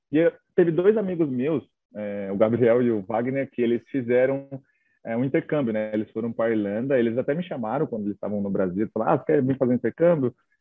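Talking at a very fast pace, a man uses a medium pitch. His pitch variation is ordinary. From São Paulo state, Brazil (Itaquaquecetuba). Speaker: travel content creator. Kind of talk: casual interview chat.

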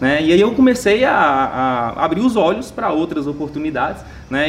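A man's fairly high voice comes through noticeable background noise. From Minas Gerais, Brazil (Montes Claros). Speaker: network marketing entrepreneur. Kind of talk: casual interview.

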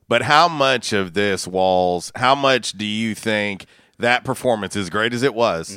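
In a very clean recording with a silent background, a man with a bright, sharp tone and fairly low pitch talks fairly slowly, with ordinary pitch variation and big swings in loudness. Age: 40s. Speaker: sports talk radio host. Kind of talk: casual sports talk radio chat; live local radio commercial read, host-read sponsor spots for pizza and car wash. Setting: radio studio. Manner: upbeat, punchy pitchman delivery rattling off addresses and deals.

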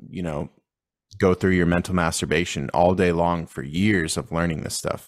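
This man speaks at a moderate pace. The recording is very clean, with a silent background. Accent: American. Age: 30s. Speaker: entrepreneur. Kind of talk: podcast interview.

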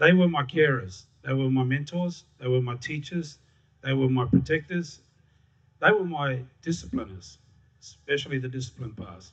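Somewhat breathy and at a moderate pace, the voice carries lively intonation. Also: man, medium pitch for a man. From Darwin, Northern Territory, Australia. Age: 40s. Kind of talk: live storytelling. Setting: stage with audience.

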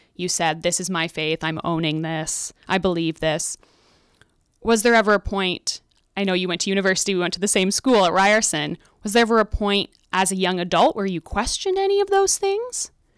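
A woman's medium-pitched, fairly evenly intoned voice, a normal speaking voice, in a very clean recording with a silent background and a dry, close sound with no echo. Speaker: podcast host and editor. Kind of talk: interview conversation. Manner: curious, conversational.

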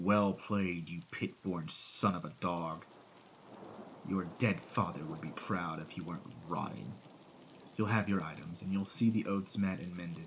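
A man's put-on character voice, growling and menacing, very deep and low in pitch, at a moderate pace with fairly even intonation over clear background noise. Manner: menacing, bitter, growling.

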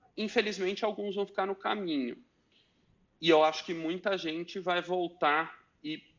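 A high-pitched man at a fairly slow pace with ordinary pitch variation, against a quiet background. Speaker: venture capital investor. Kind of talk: interview. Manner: halting.

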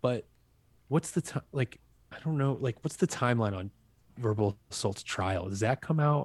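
A man with a medium pitch speaks somewhat breathily, with lively intonation and long, frequent pauses. The recording is very clean, with a silent background. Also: moderate pace. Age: 30s. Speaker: musician. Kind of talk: casual chat. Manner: halting.

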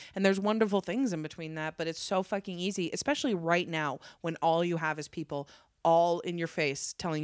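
Recorded very cleanly against a silent background, with a dry, close sound and no echo, a woman talks in an ordinary speaking voice at a fairly quick pace and fairly low pitch with ordinary pitch variation. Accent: American. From northern Nevada. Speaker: stand-up comedian. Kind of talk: casual chat. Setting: at her home.

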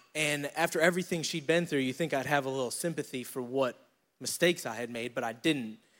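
A man with an American accent speaks very fast at a fairly high pitch with ordinary pitch variation, on a very clean recording with a silent background. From upstate New York, Syracuse. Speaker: church men's leader. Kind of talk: testimony.

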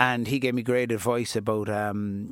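A man's medium-pitched, flat monotone with a Cork accent, on a very clean recording with a silent background. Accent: Cork Irish. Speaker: DJ and youth worker. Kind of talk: interview. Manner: casual.

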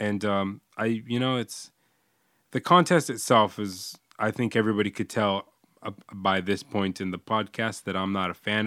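A man with an unremarkable speaking voice talks at a fairly low pitch and moderate pace. The recording is very clean, dry, and close with no echo and a silent background. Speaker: podcast host; English teacher in Japan. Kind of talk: casual chat.

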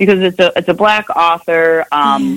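Using an unremarkable speaking voice, a woman delivers her words with lively intonation at a moderate pace. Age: 50s. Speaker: lawyer. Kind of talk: casual chat.

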